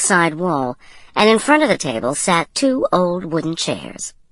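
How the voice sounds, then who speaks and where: Against a quiet background, a woman speaks at a moderate pace. Her pitch is fairly low, with vocal fry. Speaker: audiobook narrator. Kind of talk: audiobook narration.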